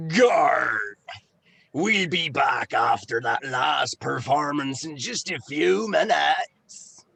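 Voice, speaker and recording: A put-on character voice delivers its lines in a theatrical tone at a very slow pace. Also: man, fairly high pitch for a man. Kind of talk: comic overacting. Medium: audio drama. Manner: barking, theatrical.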